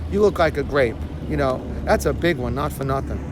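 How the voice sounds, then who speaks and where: A man with a Brooklyn accent talks at a medium pitch with very wide pitch swings. Noticeable background noise and audible room echo are present. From Brooklyn, New York. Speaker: vlogger. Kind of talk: casual vlog monologue. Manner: conversational, filler-heavy.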